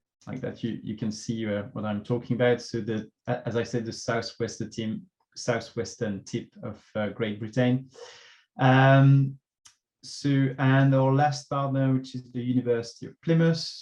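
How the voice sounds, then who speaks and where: A man's medium-pitched voice with a French accent, fairly even intonation and a moderate pace. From France. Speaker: local government transport officer. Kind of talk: conference presentation. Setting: online workshop. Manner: hesitant, many fillers.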